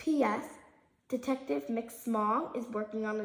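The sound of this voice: An unforced reading voice holds to a fairly even intonation.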